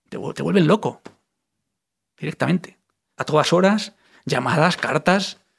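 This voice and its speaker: This man speaks at a moderate pace with vocal fry and ordinary pitch variation. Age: 40s. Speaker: identity theft victim. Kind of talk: testimony. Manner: animated.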